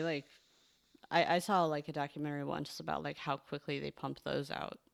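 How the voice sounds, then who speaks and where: A woman talks at a fairly quick pace, and the recording is very clean with a silent background. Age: 30s. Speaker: writer. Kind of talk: casual chat.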